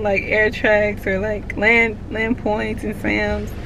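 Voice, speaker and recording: Someone speaks at a fairly slow pace with an American accent. Noticeable background noise and audible room echo are present. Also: woman. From Texas, Houston. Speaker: air force service member, vlogger. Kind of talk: casual Q&A vlog. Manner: slow, drags words.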